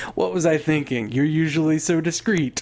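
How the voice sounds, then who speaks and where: Putting on a character voice, a man speaks with a fairly high pitch. His pace is moderate, and light background noise can be heard. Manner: sarcastic.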